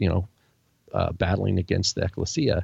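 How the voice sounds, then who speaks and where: With an American accent, a somewhat breathy man talks at a fairly quick pace with ordinary pitch variation. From Washington State, US. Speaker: podcast co-host, Bible teacher. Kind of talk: casual religious discussion. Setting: live-streamed recording with chat room.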